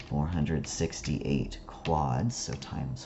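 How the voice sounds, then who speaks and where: Through audible room echo and noticeable background noise, a man talks at a very slow pace. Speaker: statistics instructor. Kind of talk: lecture.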